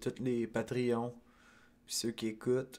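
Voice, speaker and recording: A man with a Quebec accent speaks in a monotone, flat intonation. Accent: Québécois French. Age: 20s. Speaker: podcast host. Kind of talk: casual solo monologue. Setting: at home. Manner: halting, many fillers. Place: home room. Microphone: studio mic.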